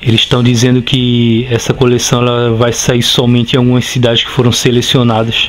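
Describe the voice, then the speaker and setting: A man's medium-pitched voice, monotone and flat, at a fairly quick pace with hardly any pauses and very even loudness, over noticeable background noise. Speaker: comic book youtuber. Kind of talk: casual video review. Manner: conversational with hesitations.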